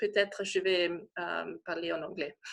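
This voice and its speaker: A woman with a non-native accent speaks in a bright, sharp tone. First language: not French (speaking French). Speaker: shiatsu practitioner, pregnancy support. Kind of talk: casual interview on video call. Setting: video call. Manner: halting, searching for words.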